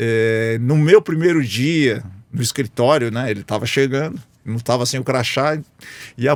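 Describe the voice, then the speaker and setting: A man with an ordinary speaking voice talks at a fairly slow pace with ordinary pitch variation. The recording is very clean, with a silent background. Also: medium pitch for a man. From Brazil, interior of São Paulo state (Lins). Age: 60s. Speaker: business executive. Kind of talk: interview conversation.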